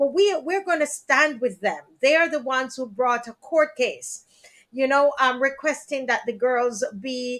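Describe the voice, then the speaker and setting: In a Jamaican accent, a woman speaks high-pitched at a fairly slow pace. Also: ordinary pitch variation. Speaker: talk show host. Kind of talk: live stream talk show. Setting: live stream.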